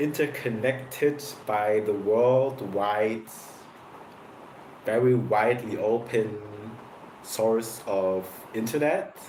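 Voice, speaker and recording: Very slow speech in a non-native accent, with long, frequent pauses, very even loudness and fairly even intonation, plus audible room echo and noticeable background noise. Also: man, medium pitch for a man. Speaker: content creator reacting to videos. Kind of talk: casual reaction commentary. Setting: at home, bright light.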